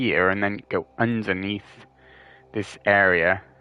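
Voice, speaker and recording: A man at a very slow pace, fairly low in pitch, with a bright, sharp tone and fairly even intonation. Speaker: gaming streamer. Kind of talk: gameplay commentary. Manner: casual, hesitant with fillers.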